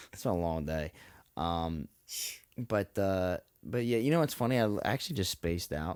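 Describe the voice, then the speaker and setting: A soft-spoken man talks at a moderate pace with a very deep, low pitch and ordinary pitch variation. The recording is very clean and dry, close with no echo, with a silent background. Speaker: podcast co-host. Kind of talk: casual chat.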